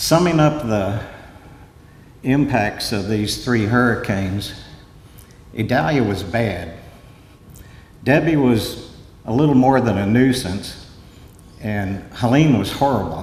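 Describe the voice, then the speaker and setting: A man speaks at a medium pitch with lively intonation, very slowly and with long, frequent pauses. Audible room echo and noticeable background noise surround him. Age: 70s. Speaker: coastal engineer. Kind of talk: conference talk.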